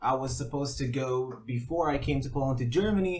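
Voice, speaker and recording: Somewhat breathy, a man talks at a fairly quick pace. His pitch is medium, with ordinary variation. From Middle East. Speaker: amateur theatre actor. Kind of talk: casual chat.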